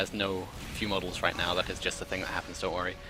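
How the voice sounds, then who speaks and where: A man talking at a very fast pace against noticeable background noise. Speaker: esports caster. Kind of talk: live commentary.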